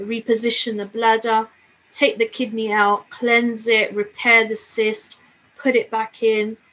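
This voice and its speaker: A woman with a London accent speaks at a fairly slow pace in a bright, sharp tone with a fairly high pitch. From London, England. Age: 40s. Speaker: plane crash survivor. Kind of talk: testimony.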